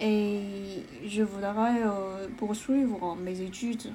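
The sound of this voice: A woman speaks at a medium pitch with fairly even intonation and a slightly mellow tone. Audible room echo surrounds her voice.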